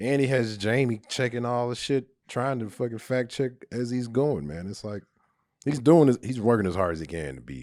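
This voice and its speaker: With an American accent, a man speaks at a moderate pace, his intonation lively and his loudness swinging widely. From Texas Panhandle. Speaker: stand-up comedian. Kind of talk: podcast interview conversation. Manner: laid back.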